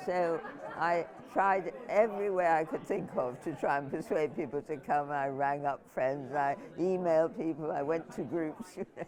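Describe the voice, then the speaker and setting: This woman's voice is very deep and low, with pitch that shifts in an ordinary way. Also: moderate pace. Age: 80s+. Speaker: climate activist. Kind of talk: documentary interview.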